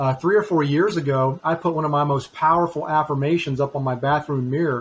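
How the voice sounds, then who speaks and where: A fairly high, somewhat breathy man's voice at a fairly quick pace, with ordinary pitch variation. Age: 50s. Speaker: author, speaker and trainer; COVID and cancer survivor. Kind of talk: interview, personal testimony. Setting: podcast interview.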